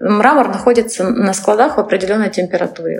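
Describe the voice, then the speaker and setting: A woman's fairly quick speech is heard with noticeable background noise. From Crimea, Kerch. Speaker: interior designer, studio founder. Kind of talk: interview.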